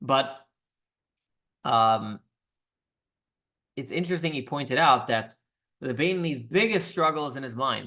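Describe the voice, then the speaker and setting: Pausing long and often, a man uses lively intonation at a fairly high pitch, with audible room echo. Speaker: rabbi teaching a weekly class. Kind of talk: religious class lecture. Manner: fast.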